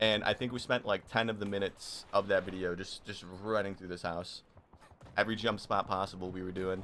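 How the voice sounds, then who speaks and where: Fairly quick and flat in monotone, a man speaks at a fairly low pitch. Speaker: live-streaming video game player. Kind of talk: casual live gaming stream chat. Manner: casual, repetitive, chatty.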